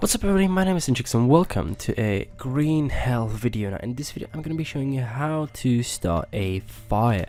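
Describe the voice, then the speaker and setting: A medium-pitched male voice with a non-native accent, a dark, mellow tone, very wide pitch swings and hardly any pauses. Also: fairly quick pace. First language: not English. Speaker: gaming youtuber. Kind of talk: gameplay tutorial. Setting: home recording at night. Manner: casual, hesitant with fillers.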